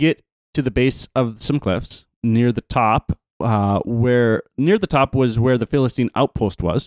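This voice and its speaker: A man with a Canadian accent speaks at a medium pitch and a fairly slow pace. He has a normal speaking voice, and the sound is dry and close with no echo. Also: very clean recording, silent background. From Canada. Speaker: podcast host and camp worker. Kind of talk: casual podcast chat about Bible story.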